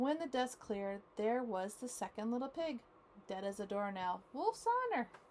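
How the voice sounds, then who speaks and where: With lively intonation, a woman speaks at a fairly high pitch over noticeable background noise. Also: moderate pace. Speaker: grandmother reading to grandchildren. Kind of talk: read-aloud children's story. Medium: read story.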